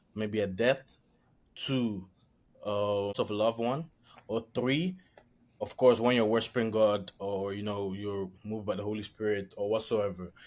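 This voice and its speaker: Recorded very cleanly against a silent background, a man talks in a fairly low pitch with fairly even intonation. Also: fairly slow pace. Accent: slight non-native. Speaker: podcast panelist. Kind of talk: casual discussion. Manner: halting.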